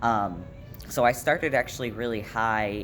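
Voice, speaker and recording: Audible room echo surrounds a man's voice. His pitch is fairly low, with ordinary pitch variation. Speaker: vlogger. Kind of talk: casual vlog update. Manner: casual, many fillers.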